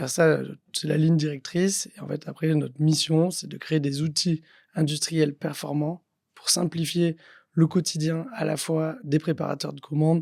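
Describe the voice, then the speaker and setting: Fairly even intonation from a man with a fairly high pitch, at a fairly slow pace. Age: 30s. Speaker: entrepreneur, company founder. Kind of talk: podcast interview. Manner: hesitant, many fillers.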